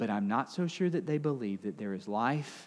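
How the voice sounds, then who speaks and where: A man with a Southern US accent and lively intonation. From Alabama, US South. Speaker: pastor. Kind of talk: sermon.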